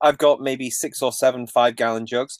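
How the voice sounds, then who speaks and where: With a Mancunian accent, a man speaks at a moderate pace and fairly even intonation, in a dry, close, very clean recording with a silent background and no echo. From Manchester, England. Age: 40s. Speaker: graphic designer and bus-dwelling traveler. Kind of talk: casual interview conversation.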